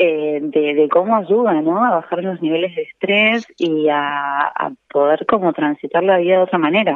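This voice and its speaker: A woman speaks in an ordinary speaking voice, fairly low in pitch, at a fairly slow pace with ordinary pitch variation. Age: 40s. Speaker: nutritionist. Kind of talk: interview. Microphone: echo.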